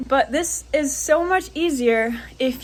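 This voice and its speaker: Lively intonation marks this woman's speech. Behind her there is noticeable background noise. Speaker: wakeboard instructor. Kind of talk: tutorial.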